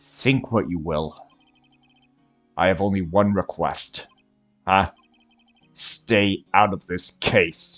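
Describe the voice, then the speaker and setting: A man speaks in a put-on character voice, pitched very deep and low. He talks very slowly with long, frequent pauses as music plays in the background. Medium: game stream. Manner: curt, cold, formal.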